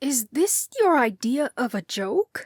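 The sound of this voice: Here a woman with a high pitch speaks at a fairly slow pace, her pitch swinging very widely. The sound is dry and close, with no echo.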